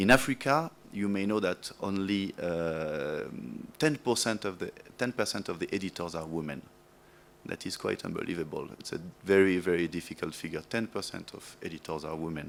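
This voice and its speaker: A man with a strong French accent talks at a moderate pace, his very deep, low voice showing ordinary pitch variation. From France. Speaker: media development project manager. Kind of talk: speech at awards event. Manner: halting, many fillers.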